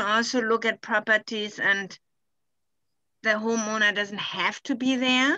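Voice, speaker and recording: In a German accent, a woman with a fairly high pitch and a bright, sharp tone speaks at a fairly slow pace in a monotone, flat intonation, the sound dry and close with no echo. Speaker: conservation specialist presenting a workshop. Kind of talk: online workshop discussion. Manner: halting, many fillers.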